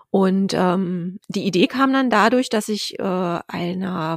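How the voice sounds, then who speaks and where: A plain, everyday voice from a woman of medium pitch with ordinary pitch variation, a very clean recording with a silent background, and a dry, close sound with no echo. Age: 40s. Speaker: author. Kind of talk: interview.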